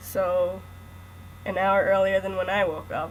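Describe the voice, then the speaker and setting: A woman speaks in a somewhat breathy voice. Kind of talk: read story. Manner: joking, can't keep a straight voice.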